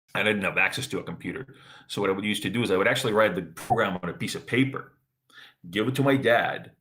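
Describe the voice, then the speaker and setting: A man with an American accent speaks at a fairly low pitch, using ordinary pitch variation. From Ukraine, emigrated to US at twelve. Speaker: blockchain business development manager. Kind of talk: interview. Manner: hesitant, many fillers.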